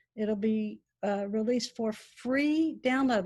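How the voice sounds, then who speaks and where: Somewhat breathy, a woman with an American accent speaks at a fairly high pitch with ordinary pitch variation, on a very clean recording with a silent background. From Texas, Dallas. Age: 60s. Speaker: author. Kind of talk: interview. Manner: hesitant, with fillers.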